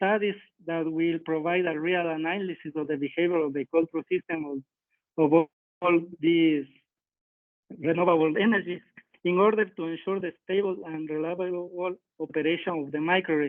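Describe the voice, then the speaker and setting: A man speaks with a Spanish accent at a high pitch. His pace is moderate and his intonation fairly even. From Ecuador. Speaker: power system engineer. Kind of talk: technical presentation. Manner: halting.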